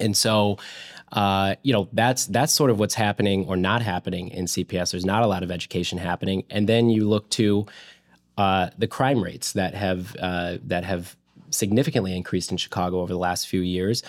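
With a US Midwestern accent, a man speaks fairly quickly at a fairly low pitch with ordinary pitch variation. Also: very clean recording, silent background. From central Illinois (Springfield). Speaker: school choice policy advocate. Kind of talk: interview. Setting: studio with camera. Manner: hesitant, many fillers and repeated words.

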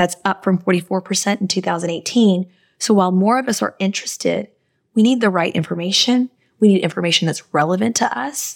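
A woman with a plain, everyday voice talks at a fairly quick pace. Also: medium pitch for a woman, ordinary pitch variation. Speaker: co-host and finance coach. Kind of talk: casual chat. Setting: video call across continents.

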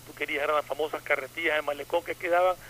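Talking very fast, a man keeps a fairly high pitch and fairly even intonation. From Ecuador, coastal (Manta). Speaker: radio panelist. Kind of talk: casual chat.

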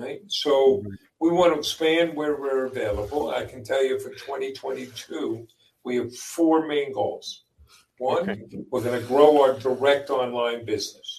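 A plain, everyday voice from a man with an American accent, fairly high in pitch and fairly slow, with ordinary pitch variation and big swings in loudness. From US Northeast, Long Island, New York. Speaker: business owner, father of co-founder. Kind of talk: interview. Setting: live stream.

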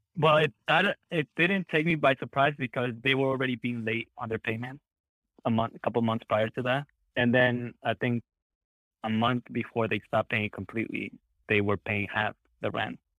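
A man's ordinary speaking voice, medium in pitch, with ordinary pitch variation and a moderate pace. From New Jersey, raised in US from age nine; born in Peru. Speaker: real estate investor. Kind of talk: interview.

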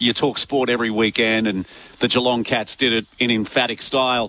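A man with an Australian accent, a medium pitch and a bright, sharp tone at a moderate pace, in a dry, close sound with no echo.

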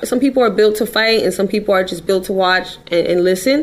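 A woman with an American accent speaks at a fairly quick pace and a medium pitch, her intonation showing ordinary variation over noticeable background noise. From New York City, the Bronx. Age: 20s. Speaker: crime victim's relative. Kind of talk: interview. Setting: studio.

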